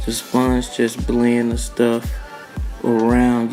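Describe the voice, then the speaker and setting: A man talks rather slowly while music plays behind him. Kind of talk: joking voiceover commentary. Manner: teasing, playful.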